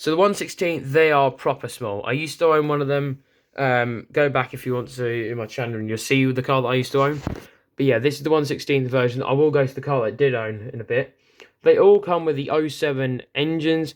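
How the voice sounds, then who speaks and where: Speaking fairly quickly with a British accent, a man uses a fairly high pitch and fairly even intonation. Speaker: RC car hobbyist youtuber. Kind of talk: product review. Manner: fast.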